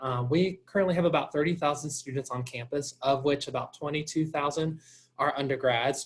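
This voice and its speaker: A man's fairly high, somewhat breathy voice with a Southern US accent and fairly even intonation. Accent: Southern drawl. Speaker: college admissions representative. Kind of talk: informational presentation. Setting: video call.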